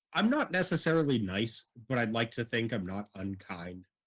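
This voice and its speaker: A man speaks at a medium pitch with a Boston accent. His intonation is lively. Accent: Boston accent, unsuppressed. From Boston, Massachusetts. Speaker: military veteran, streamer and teaching student. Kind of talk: storytelling in casual chat. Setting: live stream with remote guest.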